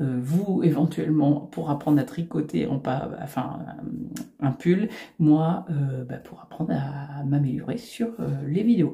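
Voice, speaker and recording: In a very deep, low voice with a dark, mellow tone and some vocal fry, a woman speaks with lively intonation. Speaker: knitting youtuber. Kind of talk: tutorial; casual chat. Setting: home recording facing computer. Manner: hesitant, many fillers.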